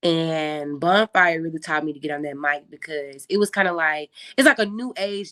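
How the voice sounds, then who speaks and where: A woman with an American accent speaks at a moderate pace, fairly low in pitch with ordinary pitch variation. Her tone is bubbly, bright and sharp, with a dry, close sound and no echo. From Memphis, Tennessee. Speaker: tour DJ. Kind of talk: casual interview chat. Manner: loud, bubbly.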